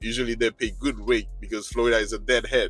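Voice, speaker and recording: Over background music, a man with a non-native accent talks at a very fast pace. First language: not English. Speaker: truck driver and video blogger. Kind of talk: vlog monologue. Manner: agitated; halting.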